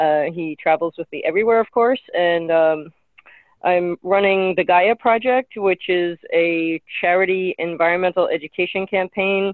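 This woman talks in a normal speaking voice, fairly low in pitch, at a moderate pace with fairly even intonation. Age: 50s. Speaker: nonprofit charity event organizer. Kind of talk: casual chat. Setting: video call.

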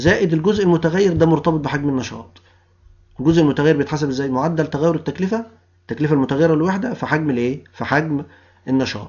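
A man talks at a very fast pace with an Egyptian accent. His pitch is fairly high. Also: ordinary pitch variation. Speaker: university lecturer. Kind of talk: lecture. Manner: explanatory, rhetorical questions to students.

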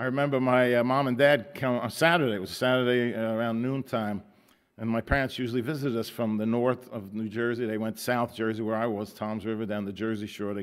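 This man speaks very fast. His intonation stays mostly level. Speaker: pastor. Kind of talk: sermon. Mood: warm, laughing storytelling. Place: church.

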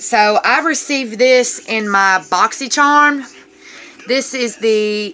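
A woman talks with ordinary pitch variation while light background noise sits underneath. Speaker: beauty vlogger. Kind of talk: makeup tutorial chat. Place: home room. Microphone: phone near.

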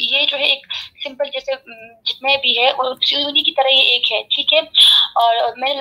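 A woman with a high pitch talks at a moderate pace in a raised, projected voice. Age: 20s. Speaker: religious community member. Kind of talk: heated debate; heated debate argument. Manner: loud. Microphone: video call.

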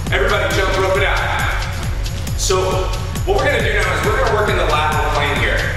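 Over clear music in the background and strong room echo, a man speaks at a very fast pace. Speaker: fitness instructor. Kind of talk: workout instruction. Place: empty room.

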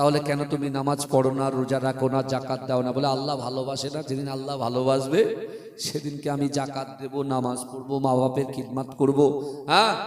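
A man speaks in a monotone, flat manner, with audible room echo and noticeable background noise. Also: medium pitch for a man. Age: 30s. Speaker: Islamic preacher. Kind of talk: sermon. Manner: loud.

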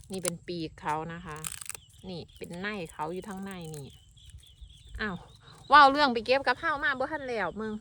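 A woman with an Isan accent, medium pitch and very wide pitch swings. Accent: Isan Thai. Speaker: farmer. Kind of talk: casual vlog narration.

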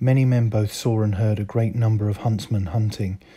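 A man talks fairly quickly in a fairly low, somewhat breathy voice with a dark, mellow tone and flat, monotone intonation. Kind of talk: history documentary narration.

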